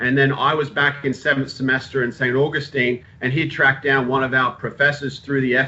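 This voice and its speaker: With a slight Australian accent, a man speaks at medium pitch in a monotone, flat intonation. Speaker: sports physical therapist. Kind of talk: informal talk to students. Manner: halting, many fillers.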